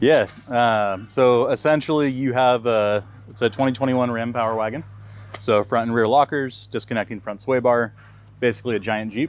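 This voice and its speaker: This man has an ordinary speaking voice at medium pitch. His pace is moderate and his intonation fairly even. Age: young. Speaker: vehicle outfitter showing a camper build. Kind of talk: product walkthrough. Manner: casual, many fillers.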